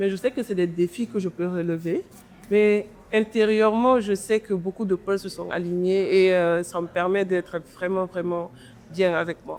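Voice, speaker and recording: Speaking at a fairly slow pace in a normal speaking voice, a woman of medium pitch keeps her intonation fairly even. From Guinea. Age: 20s. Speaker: entrepreneur and content creator. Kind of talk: interview conversation.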